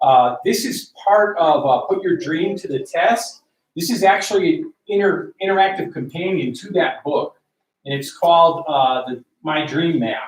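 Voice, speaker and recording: Speaking at a fairly slow pace, a man with a high pitch uses lively intonation and big swings in loudness. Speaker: military veteran and team trainer. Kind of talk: training talk to a group.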